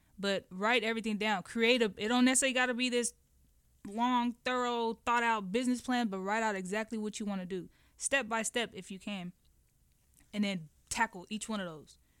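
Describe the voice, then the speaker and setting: A normal speaking voice from a woman, fairly high in pitch, at a fairly quick pace with fairly even intonation. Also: very clean recording, silent background. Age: 30s. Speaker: clothing brand founder. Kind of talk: radio interview.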